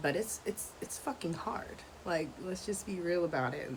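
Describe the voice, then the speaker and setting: Over noticeable background noise, a woman speaks quietly at a moderate pace. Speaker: podcast host, homeschooling mom. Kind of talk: casual freestyle monologue. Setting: outdoors at home. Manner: kept down, quieter.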